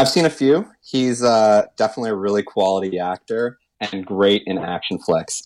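A man with a Canadian accent and a plain, everyday voice talks at a moderate pace and fairly low pitch, with ordinary pitch variation, on a very clean recording with a silent background. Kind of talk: casual chat.

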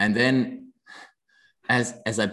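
Over a quiet background, a man with a Danish accent speaks at medium pitch. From Denmark. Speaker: watch brand founder, former dancer. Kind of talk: casual interview chat.

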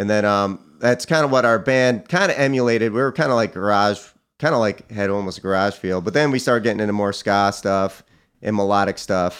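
A plain, everyday voice with an American accent speaks at a fairly quick pace with ordinary pitch variation. The recording is very clean, with a silent background. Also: man, fairly low pitch for a man. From upstate New York (Cortland County). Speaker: musician and artist. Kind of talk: interview.

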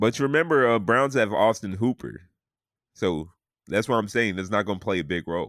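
A man with an American accent uses a normal speaking voice, fairly low in pitch, talking at a fairly quick pace with lively intonation on a very clean recording with a silent background. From US South. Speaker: sports podcast host. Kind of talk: casual chat.

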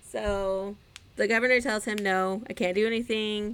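Her voice is an unremarkable speaking voice, pitched at a medium level for a woman. She talks at a moderate pace. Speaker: podcast co-host. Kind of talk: casual banter chat.

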